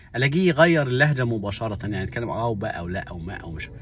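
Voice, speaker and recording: A man's medium-pitched, somewhat breathy voice in an Upper Egyptian accent, with lively intonation at a moderate pace. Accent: Upper Egyptian (Saidi) Arabic, unchanged. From Upper Egypt (Minya). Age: 40s. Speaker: vlogger. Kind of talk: casual monologue.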